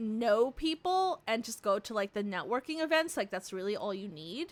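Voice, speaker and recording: Loud and animated, a woman with a high pitch speaks at a moderate pace, her pitch swinging very widely. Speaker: vtuber streamer. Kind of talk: casual live stream chat. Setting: live stream. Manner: animated, rambling pace.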